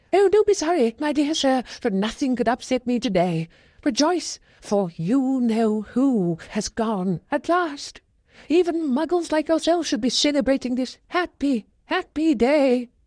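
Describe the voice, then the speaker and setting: This put-on character voice is squeaky and moves at a moderate pace against a quiet background. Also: female-sounding voice, high pitch for a woman. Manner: joyful, exuberant.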